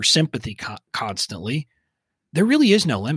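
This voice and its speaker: A man's fairly high voice in a South Texas accent. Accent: Southern Texas drawl. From Southern Texas. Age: 40s. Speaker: email marketing expert. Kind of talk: casual interview chat. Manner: relatable, humorous, down-to-earth.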